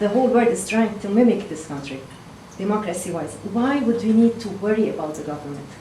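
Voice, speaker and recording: Lively intonation with a Lebanese accent at a fairly quick pace, plus noticeable background noise and audible room echo. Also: woman, medium pitch for a woman. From Lebanon. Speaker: town hall attendee. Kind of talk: public comment at town hall. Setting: town hall meeting at a fire station.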